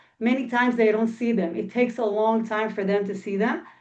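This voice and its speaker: Fairly even intonation accompanies a fairly quick pace of speech. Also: woman. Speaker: philanthropy professional in Israel. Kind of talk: webinar panel answer. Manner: fast.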